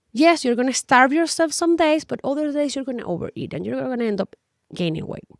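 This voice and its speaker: Speaking at a very fast pace with a Spanish accent, a woman with a high pitch uses lively intonation over a dry, close sound with no echo. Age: 40s. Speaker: health and nutrition coach. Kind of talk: educational talk to camera.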